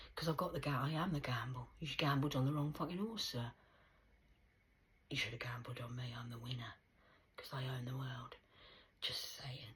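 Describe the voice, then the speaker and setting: A woman's very deep, low, somewhat breathy voice in an English accent, with ordinary pitch variation, a moderate pace and long, frequent pauses. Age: 40s. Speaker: vlogger. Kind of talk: rambling monologue. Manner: animated.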